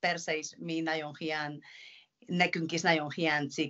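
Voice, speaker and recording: A woman with a Spanish accent speaks at a very deep, low pitch in a flat monotone. Her pace is fairly slow and the background is quiet. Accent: Spanish-accented Hungarian. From Spain, Pamplona (Navarre). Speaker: professional handball player. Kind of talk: interview. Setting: video call. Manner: halting. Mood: earnest, somewhat concerned. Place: home room. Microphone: video call.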